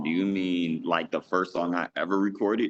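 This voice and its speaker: At a moderate pace, a man speaks at a very deep, low pitch. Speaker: gospel rapper. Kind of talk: interview.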